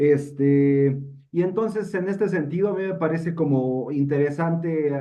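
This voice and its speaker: Talking at a fairly slow pace, a man in a Mexico City accent has a fairly high pitch and ordinary pitch variation. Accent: Mexican Spanish (Mexico City). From Mexico City, Mexico. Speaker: participant in a literary discussion. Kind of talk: panel discussion. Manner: halting, many fillers and repetitions.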